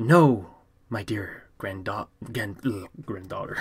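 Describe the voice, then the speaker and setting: Putting on a character voice, a man speaks at a fairly slow pace and a fairly low pitch. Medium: read story.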